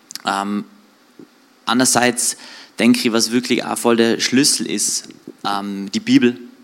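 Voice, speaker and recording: A man speaks at a medium pitch with monotone, flat intonation and long, frequent pauses. Noticeable background noise runs underneath. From Austria, Tyrol (Außerfern, Reutte area). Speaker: church guest giving testimony. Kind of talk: testimony interview. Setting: church livestream.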